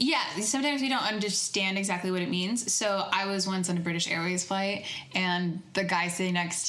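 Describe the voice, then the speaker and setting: Through audible room echo and noticeable background noise, a woman speaks at a fairly low pitch with ordinary pitch variation. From United States. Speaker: podcast co-host, student abroad. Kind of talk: casual chat.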